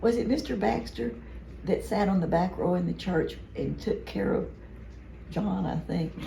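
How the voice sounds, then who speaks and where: A woman with an American accent, at a moderate pace with long, frequent pauses, amid noticeable background noise and audible room echo. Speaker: family member reminiscing. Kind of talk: casual chat.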